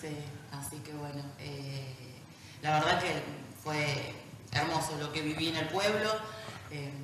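A woman speaks at a fairly slow pace in a low, fairly bright voice with ordinary pitch variation, and room echo is audible.

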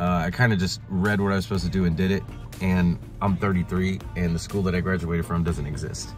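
A man's very deep, low voice at a fairly quick pace, dry with no echo, with clear music in the background. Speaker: adult college student vlogger. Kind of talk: casual vlog chat. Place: car. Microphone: phone near.

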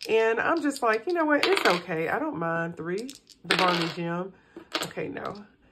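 A woman at a moderate pace with very wide pitch swings, over loud background noise. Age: middle-aged. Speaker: personal finance vlogger. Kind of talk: casual chat while cash stuffing. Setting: home recording. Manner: relaxed, with fillers and repetitions. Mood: relaxed, upbeat. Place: home room. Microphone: phone near.

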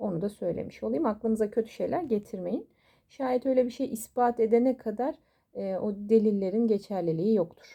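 A dark, mellow tone with ordinary pitch variation on a very clean recording with a silent background. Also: woman, fairly high pitch for a woman. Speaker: coffee cup fortune teller. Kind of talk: astrology fortune reading monologue. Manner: fast; animated.

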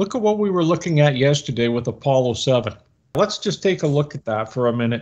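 Over a quiet background, a man speaks with lively intonation. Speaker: co-host of discussion. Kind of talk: commentary. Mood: skeptical, critical. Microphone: webcam.

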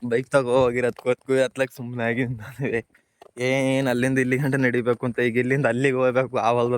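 A man speaks at medium pitch in a monotone, flat way. The sound is dry and close, with no echo. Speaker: village farmer vlogger. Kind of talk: walking vlog narration. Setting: outdoors walking through fields. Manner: casual, conversational.

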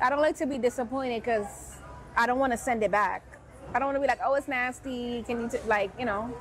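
A woman talks very fast in a high voice with an animated tone. Her pitch varies in an ordinary way, and music plays in the background. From New York, the Bronx. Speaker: lifestyle vlogger. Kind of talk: casual vlog talk to camera.

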